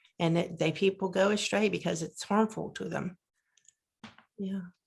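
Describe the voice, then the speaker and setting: Speaking at a moderate pace, a woman with a fairly low pitch and vocal fry keeps her intonation fairly even. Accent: American. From Pennsylvania, US. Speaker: near-death experiencer. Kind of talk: casual conversation, testimony.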